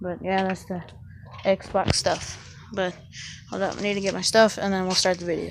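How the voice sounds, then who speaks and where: Noticeable noise fills the background. A woman talks at a moderate pace. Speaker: vlogger. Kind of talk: casual vlog talk. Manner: halting, many fillers.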